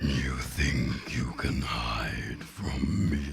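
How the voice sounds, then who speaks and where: A man puts on a character voice over loud music in the background. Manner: menacing, taunting.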